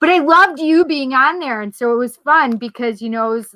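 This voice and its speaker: A woman speaks with lively intonation and an animated tone. Her voice sounds bright and sharp. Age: 50s. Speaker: talk radio co-host. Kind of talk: casual chat.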